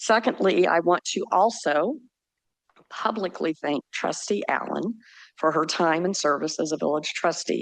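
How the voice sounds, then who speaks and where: A woman's fairly low voice with vocal fry and lively intonation. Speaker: resident speaking at public comment. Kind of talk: public comment statement. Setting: village board meeting.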